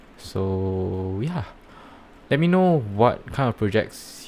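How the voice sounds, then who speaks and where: Speaking with a Singaporean accent, a man has a fairly low pitch. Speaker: NFT project reviewer and startup founder. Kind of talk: live stream commentary. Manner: hesitant, many fillers.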